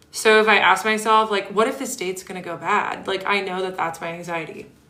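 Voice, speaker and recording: Over noticeable background noise, a woman talks at a fairly quick pace and medium pitch with fairly even intonation and big swings in loudness. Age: 30s. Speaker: ADHD coach and livestreamer. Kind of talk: casual livestream chat. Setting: live stream. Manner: chatty, conversational.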